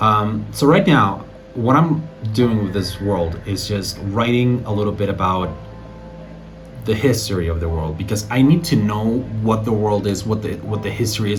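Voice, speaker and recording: Over music in the background and audible room echo, a man talks at a fairly quick pace with a fairly low pitch. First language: Spanish. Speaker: aspiring fantasy author, vlogger. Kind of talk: casual vlog talk. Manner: hesitant, many fillers and restarts.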